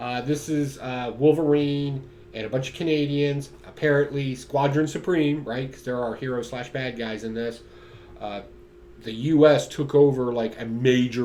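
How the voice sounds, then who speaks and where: With audible room echo, a man talks at medium pitch and a moderate pace, his loudness swinging widely. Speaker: comic book reviewer. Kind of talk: casual solo video review. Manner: slurring words today; animated, casual.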